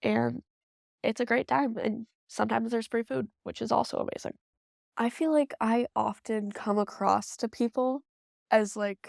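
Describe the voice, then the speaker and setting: Recorded very cleanly with a silent background and a dry, close sound with no echo, a woman with an American accent talks at a moderate pace. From upstate New York, Rochester. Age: 18. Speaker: college student. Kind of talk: documentary interview.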